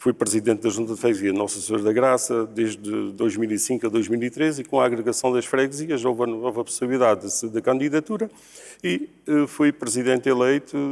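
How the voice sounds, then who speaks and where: Fairly quick speech from a man at a medium pitch with ordinary pitch variation. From Portugal, Alto Alentejo (Nisa). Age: 60s. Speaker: local politician, candidate for mayor. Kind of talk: political debate. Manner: halting, with fillers and repetitions.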